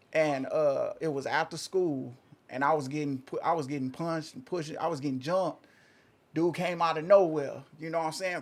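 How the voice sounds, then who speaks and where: Speaking with an American accent at a moderate pace, a man uses a fairly high pitch and ordinary pitch variation. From Oklahoma. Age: 30s. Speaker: interview guest. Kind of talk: casual interview, personal story. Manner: halting, repeats himself.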